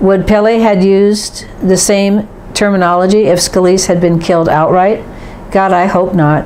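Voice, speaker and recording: Over noticeable background noise and audible room echo, the speaker goes at a moderate pace with fairly even intonation and very even loudness. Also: woman, medium pitch for a woman. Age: 70s. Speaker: political commentator. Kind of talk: opinion monologue. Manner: formal.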